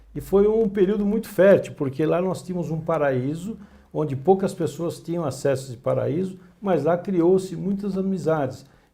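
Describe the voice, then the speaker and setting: Delivery is measured and moderate in speed. The voice carries a dark, mellow tone and typical pitch movement. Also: man, high pitch for a man. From Greater São Paulo, Brazil. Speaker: journalist. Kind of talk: interview. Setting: studio.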